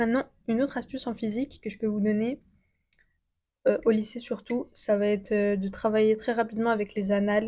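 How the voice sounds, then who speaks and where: A woman with a fairly high pitch speaks at a fairly quick pace. Her tone is dark, mellow and somewhat breathy, with fairly even intonation. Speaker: student youtuber giving study tips. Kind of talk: casual vlog advice. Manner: fast; casual with many fillers.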